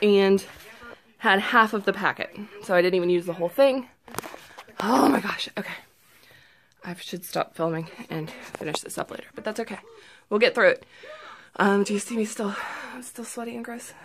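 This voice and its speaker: A woman talks at a moderate pace with ordinary pitch variation and long, frequent pauses. Her loudness swings widely over light background noise. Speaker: vlogger. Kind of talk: casual vlog chat. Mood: upbeat, pleased. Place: home room. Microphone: phone near.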